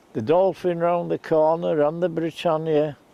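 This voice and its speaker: Here a man speaks with a Yorkshire accent at a fairly high pitch. His pace is fairly slow and his intonation fairly even. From northern England, Scarborough, Yorkshire. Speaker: local storyteller. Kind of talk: reminiscing monologue.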